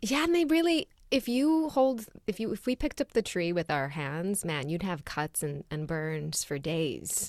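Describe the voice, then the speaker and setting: On a very clean recording with a silent background, a woman of medium pitch speaks at a moderate pace with very wide pitch swings. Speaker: podcast co-host. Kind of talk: casual chat.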